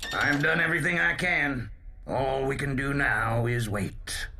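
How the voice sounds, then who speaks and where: A man puts on a cartoonish character voice at medium pitch and a moderate pace, with clear background noise behind him. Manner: gruff.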